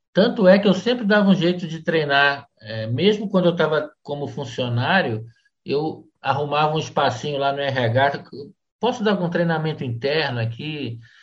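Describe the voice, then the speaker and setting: With lively intonation, the somewhat breathy voice holds a moderate speed. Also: man, fairly high pitch for a man. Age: 50s. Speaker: LinkedIn influencer and sales trainer. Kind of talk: casual interview.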